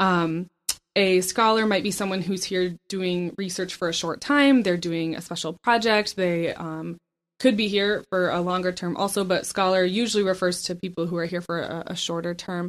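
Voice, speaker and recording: A woman with an unremarkable speaking voice, medium pitch and fairly even intonation at a moderate pace, on a very clean recording with a silent background. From grew up in Southeast Asia, born in Michigan. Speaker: university communications and outreach coordinator. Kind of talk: interview. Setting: office.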